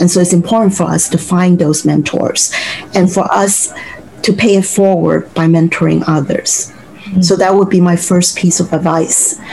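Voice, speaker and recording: A woman's fairly low voice at a moderate pace, with fairly even intonation, very even loudness and noticeable background noise. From Hong Kong, then Brooklyn from early teens. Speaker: civil rights and workers' rights lawyer. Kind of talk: interview.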